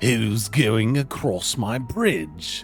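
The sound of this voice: Booming in a put-on character voice at a medium pitch, a man performs over clear background music.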